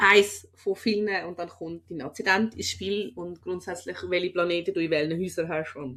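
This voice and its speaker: A woman's unremarkable speaking voice, fairly low in pitch, at a moderate pace with fairly even intonation and hardly any pauses. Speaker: comedian and podcast host. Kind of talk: casual podcast talk.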